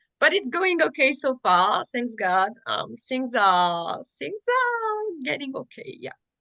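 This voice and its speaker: A woman speaks very slowly with a French accent, in a high voice. Her pitch swings very widely, and her loudness rises and falls sharply. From France. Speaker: digital marketing consultant. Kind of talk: casual interview chat.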